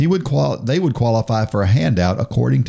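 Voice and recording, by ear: A natural voice, reading aloud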